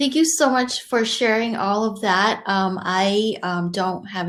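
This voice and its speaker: A woman's voice at a fairly slow pace with ordinary pitch variation. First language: Cantonese. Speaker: conversation host. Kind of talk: hosting a live virtual chat. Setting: virtual session.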